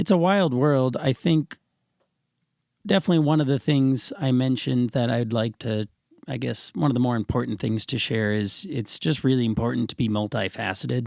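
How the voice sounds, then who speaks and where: A man with an ordinary speaking voice talks at medium pitch and moderate pace, with lively intonation. The recording is very clean with a silent background and a dry, close sound with no echo. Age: 20s. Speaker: professional musician. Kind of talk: casual interview chat.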